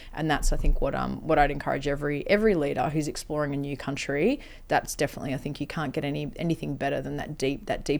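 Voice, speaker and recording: This woman speaks very fast and barely pauses at all. She has a strong Australian accent. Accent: broad Australian. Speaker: health-tech company CEO. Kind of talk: interview.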